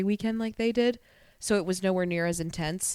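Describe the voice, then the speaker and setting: In a very clean recording with a silent background, a woman speaks in an animated tone. Her pitch is medium, with ordinary variation. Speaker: dancer. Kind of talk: casual chat. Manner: loud.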